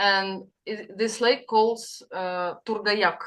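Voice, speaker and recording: The speaker has a Russian accent. The intonation is fairly even. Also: woman. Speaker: participant in spiritual group session. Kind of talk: sharing in group video call. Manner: halting, searching for words.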